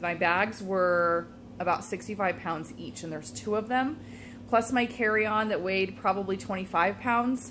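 The voice has vocal fry and lively intonation. There is light background noise. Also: woman. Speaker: vlogger. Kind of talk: casual vlog chat. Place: home room. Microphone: phone near.

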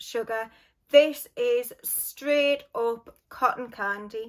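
A woman with a Geordie accent and a high pitch speaks very slowly against a quiet background. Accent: Geordie (Newcastle). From northern England, Newcastle; northern England. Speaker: beauty and fragrance YouTuber; fragrance YouTuber. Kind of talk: casual vlog talk to camera.

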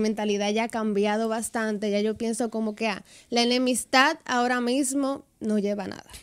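A woman with a fairly high voice speaks with fairly even intonation against a quiet background. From Dominican Republic, Santiago. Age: 20s. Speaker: social media influencer and dancer. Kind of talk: radio interview, casual chat. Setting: radio studio. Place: studio. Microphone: studio mic.

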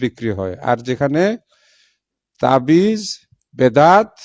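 His pitch swings over a very wide range. The voice belongs to a man. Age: 60s. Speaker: professor and Islamic organization leader. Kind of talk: public statement.

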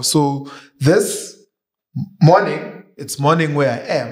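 A man talks with fairly even intonation. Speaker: YouTube show host. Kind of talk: interview conversation. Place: studio. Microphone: studio mic.

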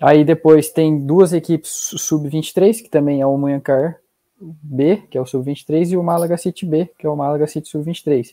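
Over a quiet background, a man's fairly high voice carries a dark, mellow tone and fairly even intonation. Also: fairly slow pace. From Brazil, interior of São Paulo state (Taubaté); São Paulo, Brazil. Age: 20s. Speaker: young footballer on sports exchange. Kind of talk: casual interview; interview answer. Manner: halting. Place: home room.

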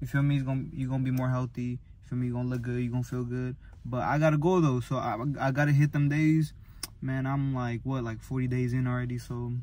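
A man at a very fast pace, monotone and flat in intonation, with a dry sound and no echo. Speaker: vlogger. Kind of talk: casual vlog chat. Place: car. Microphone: phone near.

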